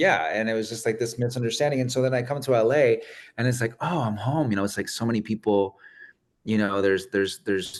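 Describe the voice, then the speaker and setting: Talking at a very fast pace, a man uses a Spanish accent and a medium pitch. His pitch variation is ordinary, and the background is quiet. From Arizona, raised by Mexican family. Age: 30s. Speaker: guest receiving a reading. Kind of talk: casual chat.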